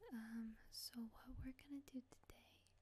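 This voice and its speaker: Soft-spoken and whispering, the voice carries a relaxed tone. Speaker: ASMR video creator teaching programming. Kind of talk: ASMR programming tutorial, casual talk to camera. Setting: close microphone recording, dogs in the background. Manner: soft-spoken, whispering, relaxed.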